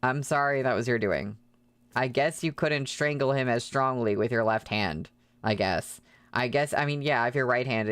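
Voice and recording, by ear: Natural-voiced reading aloud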